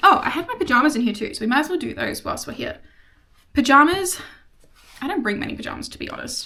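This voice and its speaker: A woman speaks with an Australian accent. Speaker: vlogger. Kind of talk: casual chat. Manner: fast; animated.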